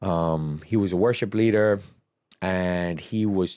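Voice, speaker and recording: Over a silent background in a very clean recording, a man speaks with a slight Bermudian accent, his tone dark and mellow and his intonation fairly even. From Bermuda. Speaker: church operations head and dancer. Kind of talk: testimony. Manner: loud.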